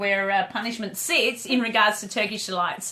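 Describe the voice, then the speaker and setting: A loud woman with an Australian accent talks at a fairly quick pace in an animated tone. Noticeable background noise sits behind her. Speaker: dog trainer and live show host. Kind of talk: casual chat on a live video stream. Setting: live video stream.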